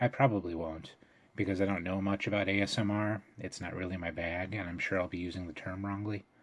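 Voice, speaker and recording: Soft-spoken and monotone, a man talks at a moderate pace in a very deep, low voice with flat intonation over a quiet background. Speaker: tech YouTuber. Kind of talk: tutorial. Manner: calm.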